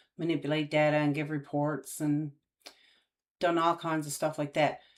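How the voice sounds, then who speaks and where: A woman speaks in a very deep, low voice with a Newfoundland accent and monotone, flat intonation. The recording is very clean, with a silent background. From Newfoundland, Canada. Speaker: YouTuber, aspiring data analyst. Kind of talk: casual live-stream chat. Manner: hesitant, many fillers.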